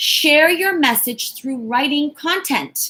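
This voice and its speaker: A woman speaks loudly at a fairly slow pace in an animated tone. Her tone is bright and sharp, and her intonation lively. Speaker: motivational speaker and entrepreneur. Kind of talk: live-stream talk. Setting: live stream on YouTube and Facebook.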